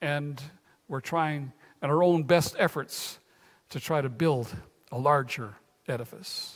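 Speaking at a slow pace, a man uses a fairly high pitch with ordinary pitch variation.

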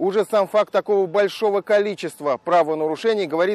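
Recorded very cleanly against a silent background, a man's high voice sounds dry and close with no echo and ordinary pitch variation. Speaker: TV news correspondent. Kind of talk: news report narration.

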